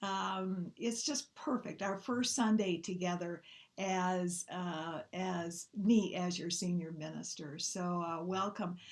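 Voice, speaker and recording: A woman talks at a very slow pace. She speaks with a slight Midwestern US accent. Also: medium pitch for a woman, ordinary pitch variation. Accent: Midwest twang, slight. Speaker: minister. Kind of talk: sermon. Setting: online church service.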